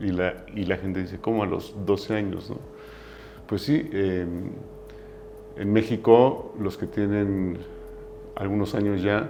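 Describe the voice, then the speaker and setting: A man with a Mexican accent and a fairly low pitch speaks at a fairly slow pace with fairly even intonation. Long, frequent pauses and audible room echo mark the clip. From Mexico. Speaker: business founder. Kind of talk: interview. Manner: halting.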